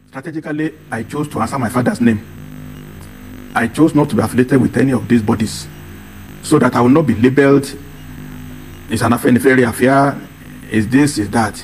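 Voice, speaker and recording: With a Nigerian accent, a man at medium pitch talks at a fairly quick pace with ordinary pitch variation and long, frequent pauses, as music plays in the background. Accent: Nigerian (Yoruba) English. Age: 70s. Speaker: political advocate. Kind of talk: TV interview.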